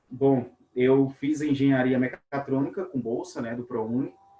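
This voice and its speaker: A man at medium pitch. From Brazil, Minas Gerais near Bahia border. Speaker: webinar host, robotics teacher. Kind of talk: webinar conversation.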